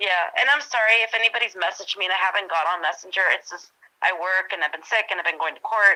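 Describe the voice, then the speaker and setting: A woman talks very fast in a bright, sharp tone. Her pitch is medium with ordinary variation. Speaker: eyewitness sharing her story. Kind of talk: casual chat.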